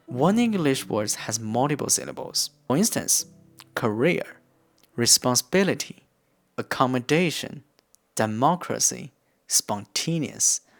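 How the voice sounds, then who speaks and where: With an East Asian accent, a man of medium pitch talks at a fairly slow pace using lively intonation. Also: long, frequent pauses. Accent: East Asian accent, non-native English. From Korean-Chinese. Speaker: counselor. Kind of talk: casual talk to camera, language learning tips.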